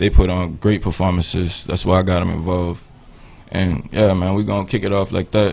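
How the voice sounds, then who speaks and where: With a New Orleans accent, a man talks at a fairly quick pace. His pitch is very deep and low, and his intonation monotone and flat. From New Orleans, Louisiana. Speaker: musician. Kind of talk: radio interview. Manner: casual.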